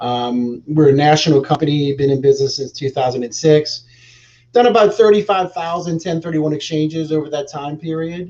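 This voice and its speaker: With an American accent, the speaker moves at a fairly quick pace. Pitch variation is ordinary. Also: man, fairly high pitch for a man. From New Orleans, US South. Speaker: real estate exchange specialist. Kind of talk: interview on a live show. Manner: hesitant fillers.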